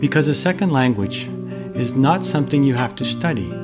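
At a moderate pace, a man talks over clear music in the background. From Boston, Massachusetts, USA. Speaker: English teacher. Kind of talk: casual talk to camera. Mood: calm, friendly. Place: home room.

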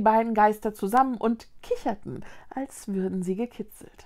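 A woman speaks in a dramatic tone at a moderate pace, with a fairly high pitch and ordinary pitch variation. The background is quiet. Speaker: children's book reader. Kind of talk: suspenseful narration of a fantasy children's story. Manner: dramatic, tense. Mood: calm, storytelling tone. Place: home room.

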